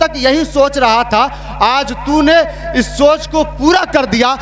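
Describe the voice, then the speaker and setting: A man speaks at an extremely high pitch with ordinary pitch variation over noticeable background noise. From India, Allahabad. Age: young. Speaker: Islamic preacher. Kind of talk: sermon.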